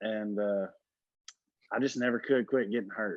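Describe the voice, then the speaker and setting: The voice is a man's, pitched in the medium range. An American accent comes through. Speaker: musician and former motocross racer. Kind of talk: interview. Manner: casual.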